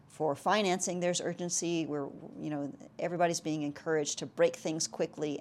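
Heard on a very clean recording with a silent background, a woman talks at a fairly quick pace. Her pitch sits fairly low, and she has an unremarkable speaking voice. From South Texas. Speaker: tech startup CEO and architecture lecturer. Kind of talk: interview.

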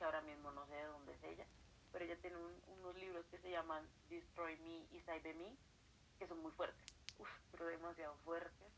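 In a Colombian accent, a woman talks at a fairly low pitch. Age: 20s. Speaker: writer and accounting student. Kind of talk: casual interview. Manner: quiet, late at night.

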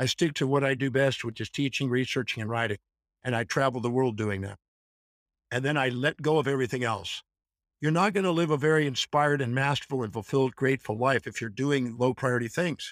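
In a dry, close sound with no echo, a man with an unremarkable speaking voice talks fairly quickly at a medium pitch with ordinary pitch variation. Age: 60s. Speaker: author and educator. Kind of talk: interview answers, explanatory. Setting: video call from Iceland.

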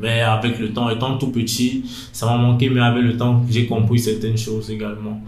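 Over music in the background and audible room echo, a man at medium pitch speaks at a moderate pace with monotone, flat intonation. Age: 20s. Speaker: young man, internship applicant. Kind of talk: personal interview, life testimony. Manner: hesitant, with many fillers and restarts.

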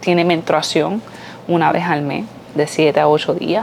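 A woman's very deep, low voice with fairly even intonation over noticeable background noise. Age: 20s. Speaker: podcaster, mother and mental health worker. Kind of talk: personal opinion monologue.

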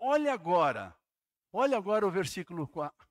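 A man's voice, dry and close with no echo. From Santa Catarina, southern Brazil (Jaraguá do Sul). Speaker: pastor. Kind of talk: sermon. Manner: animated.

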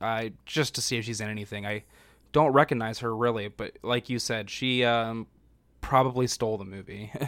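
On a very clean recording with a silent background, a man with a normal speaking voice talks at a moderate pace and medium pitch with fairly even intonation. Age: 20s. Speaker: podcast co-host. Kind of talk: casual chat.

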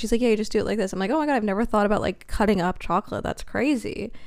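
A woman with an ordinary speaking voice, medium pitch and lively intonation. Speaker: podcast co-host. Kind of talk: casual chat.

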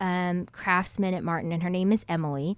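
An American accent on a very clean recording with a silent background. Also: woman. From Ohio. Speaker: singer-songwriter. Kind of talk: casual interview chat.

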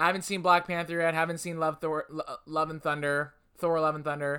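A man with a fairly high voice and a bright, sharp tone, recorded very cleanly against a silent background. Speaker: podcast host. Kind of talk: casual chat.

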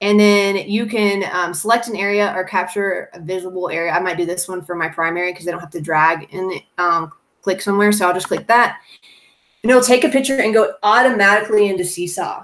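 The delivery is fairly quick. Pitch varies in an ordinary way. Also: woman, medium pitch for a woman. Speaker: first grade teacher. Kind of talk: tutorial. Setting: video call. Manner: fast talker.

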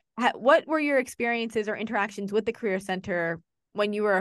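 With an American accent, a woman speaks at a very fast pace and a medium pitch. Her pitch varies in an ordinary way, and there is vocal fry in her voice. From New Jersey. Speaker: university career center staff, podcast host. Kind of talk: casual interview.

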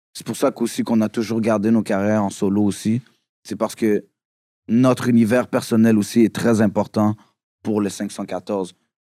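A man's dark, mellow voice with a Quebec accent, fairly low pitch and monotone, flat intonation, in a very clean recording with a silent background and a dry, close sound with no echo. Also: moderate pace. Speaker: rapper. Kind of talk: casual chat.

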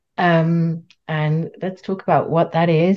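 Speaking at a fairly slow pace, a woman has a fairly low pitch and a normal speaking voice. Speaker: podcast host and coach. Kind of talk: casual podcast conversation.

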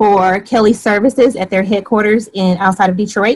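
Speaking with an American accent, a woman keeps a medium pitch and fairly even intonation. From Michigan (Flint). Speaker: short-term rental host and real estate investor. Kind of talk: interview.

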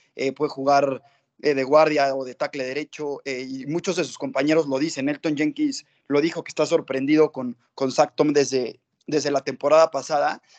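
At a moderate pace, a man talks at a fairly high pitch in a monotone, flat way. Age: 20s. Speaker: football fan. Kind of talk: casual chat.

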